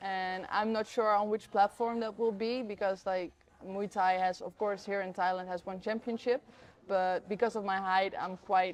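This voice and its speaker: A woman's medium-pitched voice with a Dutch accent, moderate in pace and flat, monotone in intonation. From Netherlands. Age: 20s. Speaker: professional Muay Thai fighter. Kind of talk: interview answer.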